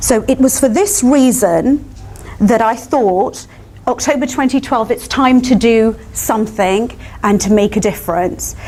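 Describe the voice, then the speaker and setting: Noticeable background noise accompanies a woman with a fairly high pitch who speaks at a fairly slow pace, with ordinary pitch variation and very even loudness. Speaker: barrister. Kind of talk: panel talk. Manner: not soft-spoken.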